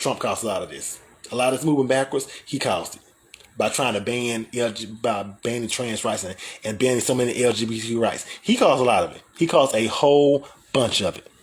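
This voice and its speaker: Over noticeable background noise, a man in an American accent speaks at a medium pitch and a fairly quick pace, with big swings in loudness. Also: ordinary pitch variation. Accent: Southern US country accent, used sometimes. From US South, Albany, Georgia. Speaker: talk show host. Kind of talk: live-stream talk show, reading viewer comments. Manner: animated.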